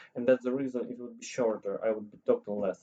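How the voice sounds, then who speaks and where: A man speaks at a medium pitch. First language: not English or Polish. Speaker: language learner vlogger. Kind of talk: casual vlog monologue. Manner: halting, many fillers and restarts.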